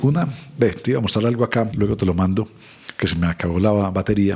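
Pitch varies in an ordinary way as the words come at a fairly quick pace. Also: man. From Colombia, Medellín. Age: 60s. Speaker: social consultant. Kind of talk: interview conversation.

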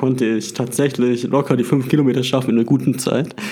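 A man talks very fast at medium pitch in a monotone, flat delivery. Noticeable background noise is present. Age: 20s. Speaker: podcast host. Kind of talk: casual chat.

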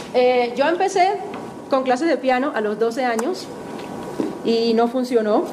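With noticeable background noise and audible room echo, a woman speaks at a high pitch and a fairly slow pace. Her intonation is lively, with long, frequent pauses. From Venezuela, Maracaibo. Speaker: musician and music teacher. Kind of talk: testimony talk to an audience. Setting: auditorium with audience.

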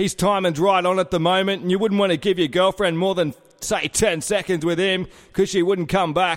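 The speaker has a strong Australian accent and moves at a fairly quick pace. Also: man, very even loudness. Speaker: comedy sports commentator. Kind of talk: casual comedic chat.

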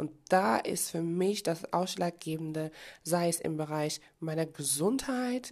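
A woman's fairly low, dark, mellow voice with very wide pitch swings against a quiet background. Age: 30s. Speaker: podcast host and life coach. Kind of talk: motivational monologue.

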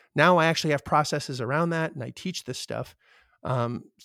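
A man with a Canadian accent speaks with fairly even intonation. The sound is dry and close with no echo, on a very clean recording with a silent background. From Canada. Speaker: real estate investor. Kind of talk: interview.

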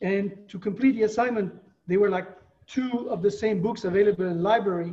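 A man with a French accent talks at a fairly quick pace and a high pitch, keeping his intonation fairly even. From France. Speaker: retired attorney. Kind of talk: interview. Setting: video call.

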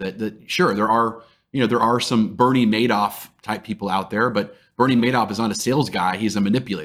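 In an American accent, a man talks at a fairly quick pace with fairly even intonation, an unremarkable speaking voice on a very clean recording with a silent background. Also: medium pitch for a man. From Texas (Dallas). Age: 40s. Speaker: sales trainer and CEO. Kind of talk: interview conversation.

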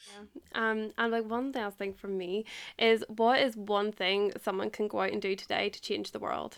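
With an Irish accent, a woman speaks in a monotone, flat manner at a moderate pace on a very clean recording with a silent background. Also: medium pitch for a woman. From Ireland. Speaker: podcast host. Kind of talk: casual interview chat.

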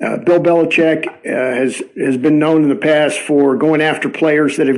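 At a moderate pace, a man with a fairly high pitch speaks in a plain, everyday voice. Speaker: football YouTuber and podcaster. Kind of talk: recorded voice message.

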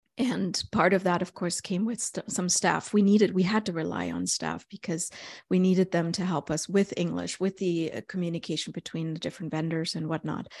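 A woman with a German accent speaks at a fairly low pitch with vocal fry and fairly even intonation. Her pace is fairly quick, and the background is quiet. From East Germany. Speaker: author and consultant. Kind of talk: interview conversation. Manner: reflective, hesitant with fillers.

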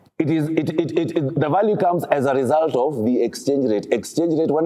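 Lively intonation over audible room echo. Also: man. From Kenya, Kisumu. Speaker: pastor. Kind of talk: sermon.

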